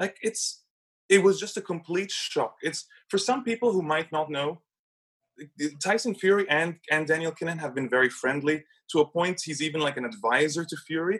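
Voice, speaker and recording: At a moderate pace, a man talks with lively intonation and a high pitch. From Egypt. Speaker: investigative journalist. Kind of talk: interview.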